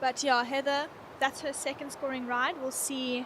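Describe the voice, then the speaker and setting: Her pitch is high and her intonation monotone and flat. The woman speaks at a fairly slow pace over noticeable background noise. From Cape Town, South Africa. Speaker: surf contest co-commentator. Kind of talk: live commentary.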